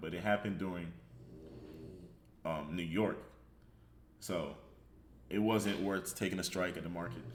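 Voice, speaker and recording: A man's very deep, low voice with vocal fry, moderate pace, ordinary pitch variation and long, frequent pauses. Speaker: trader. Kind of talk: trading chart breakdown.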